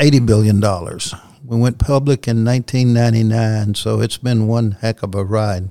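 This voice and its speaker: A medium-pitched man with a Southern US accent at a moderate pace. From US South. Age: 70s. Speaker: company chief executive. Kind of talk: interview.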